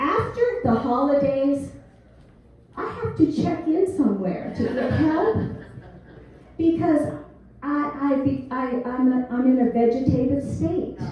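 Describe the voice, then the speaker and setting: A woman's high voice carries lively intonation with long, frequent pauses. Audible room echo surrounds her. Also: fairly slow pace. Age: 70s. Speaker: comedian. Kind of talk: stand-up. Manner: animated.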